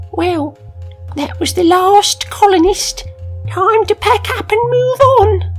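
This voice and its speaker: A put-on character voice speaks at an extremely high pitch and a fairly slow pace. Clear music plays in the background. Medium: read story. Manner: dry, teasing.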